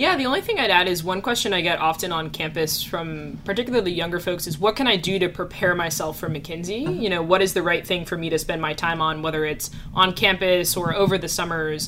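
A woman at a fairly quick pace amid noticeable background noise. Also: fairly low pitch for a woman, ordinary pitch variation. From New Jersey. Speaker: business analyst. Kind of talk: casual interview.

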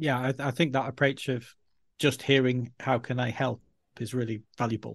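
A man with a medium pitch speaks in a monotone, flat intonation, somewhat breathy, at a moderate pace. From Yorkshire, northern England. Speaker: learning and development head. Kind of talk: interview conversation.

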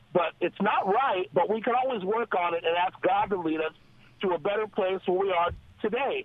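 A high-pitched man amid noticeable background noise. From Los Angeles. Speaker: caller. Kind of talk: call-in comment. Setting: phone call.

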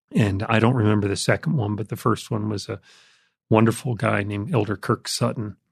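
Speaking at a fairly quick pace with an American accent, a man uses a fairly low, somewhat breathy voice and fairly even intonation against a quiet background. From US Northeast (Jersey Shore, Connecticut). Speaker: author and business executive. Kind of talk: testimony.

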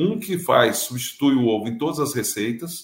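The man's voice is somewhat breathy and fairly high-pitched, with ordinary pitch variation. He keeps a moderate pace. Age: 50s. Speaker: business owner. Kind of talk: interview.

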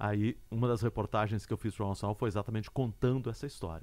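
A fairly low-pitched male voice, very fast, over a silent background on a very clean recording. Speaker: podcast host and journalist. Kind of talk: interview.

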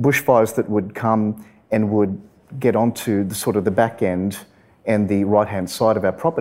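A fairly low-pitched man with an Australian accent at a moderate pace. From Western Sydney, Australia. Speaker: environmental lawyer. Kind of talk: live interview. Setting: stage with audience.

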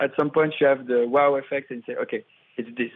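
The speaker talks at a fairly quick pace in a French accent. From France, Paris. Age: 20s. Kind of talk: interview.

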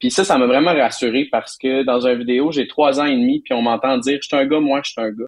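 A man at a fairly quick pace with hardly any pauses and fairly even intonation. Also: medium pitch for a man. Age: 30s. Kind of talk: interview. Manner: halting, many fillers and repetitions.

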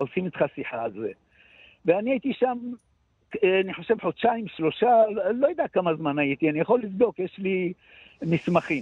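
A man at a high pitch with very wide pitch swings, a moderate pace and long, frequent pauses. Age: 70s. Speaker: combat veteran with shell shock. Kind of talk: interview testimony. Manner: halting.

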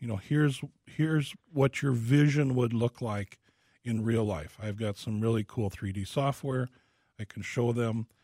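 At a moderate pace and medium pitch, a man speaks in a somewhat breathy, dark, mellow tone with ordinary pitch variation and a dry, close sound with no echo. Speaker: home remodeling specialist. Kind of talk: casual radio Q&A. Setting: studio.

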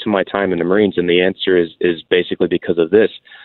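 The speaker has a Texan accent and talks at a very fast pace. The intonation stays fairly even. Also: man. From Texas, Houston. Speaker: veteran business founder. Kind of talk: interview.

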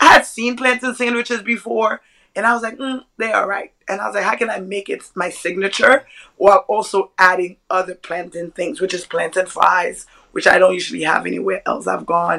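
A woman talks at a fairly quick pace with vocal fry. Her tone is bright and sharp. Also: medium pitch for a woman, ordinary pitch variation. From Brooklyn, New York (born in Haiti, came at seven). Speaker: chef and restaurateur. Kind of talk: casual chat.

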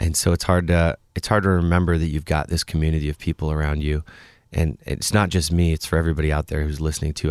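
In a very clean recording with a silent background and a dry, close sound with no echo, a man talks at a very fast pace in a very deep, low pitch with monotone, flat intonation. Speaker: musician. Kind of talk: casual interview chat. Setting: studio.

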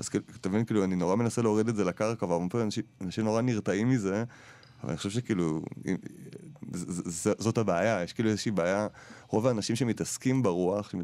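The tone is dark and mellow, with fairly even intonation and a fairly quick pace. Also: man. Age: 30s. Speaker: radio host. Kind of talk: radio interview. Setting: studio.

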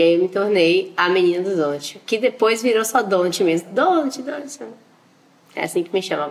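Against noticeable background noise, a woman speaks at medium pitch and a moderate pace with lively intonation. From Bahia, Brazil (Valença, interior). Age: 20s. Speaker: entrepreneur, donut business owner. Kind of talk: interview.

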